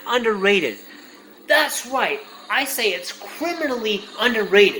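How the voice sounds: A man's extremely high-pitched voice, bright and sharp in tone, with lively intonation and audible room echo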